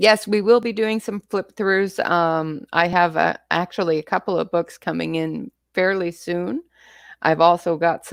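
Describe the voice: A woman with a Canadian accent speaks in a normal speaking voice at a fairly low pitch, with ordinary pitch variation and a fairly slow pace. The recording is very clean, with a silent background and a dry, close sound with no echo.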